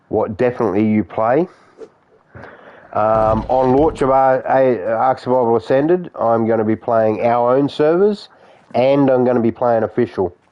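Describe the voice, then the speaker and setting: Very even in loudness, a man talks at a moderate pace and medium pitch, with ordinary pitch variation. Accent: Australian. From Australia. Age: 50s. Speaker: gaming streamer. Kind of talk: live stream chat with viewers. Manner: casual, halting.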